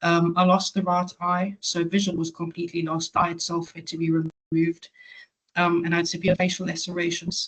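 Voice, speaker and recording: With a South African accent, a woman speaks at a fairly quick pace and a fairly low pitch, somewhat breathy and monotone, in a dry, close sound with no echo. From South Africa, Johannesburg. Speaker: patient advocate. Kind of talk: webinar talk. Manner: hesitant, many fillers.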